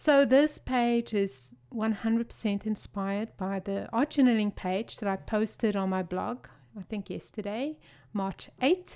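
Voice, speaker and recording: A woman's fairly high voice at a fairly slow pace, with ordinary pitch variation, on a very clean recording with a silent background. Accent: South African. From South Africa. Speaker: craft video creator. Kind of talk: tutorial. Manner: animated.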